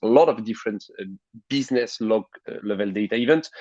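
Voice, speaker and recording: With a French accent, a man speaks at a fairly quick pace in a fairly low pitch with fairly even intonation. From France. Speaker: tech company CEO and co-founder. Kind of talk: interview. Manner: hesitant, many fillers.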